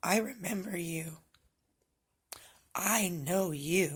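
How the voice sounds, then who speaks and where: In a put-on character voice, raspy and at a middle pitch, the speaker drawls along at a very slow pace. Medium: solo performance. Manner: warm, emotional, insistent.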